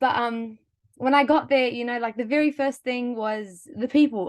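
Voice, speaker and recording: A woman with a New Zealand accent talks at a fairly quick pace. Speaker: webinar panelist. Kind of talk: personal story. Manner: animated.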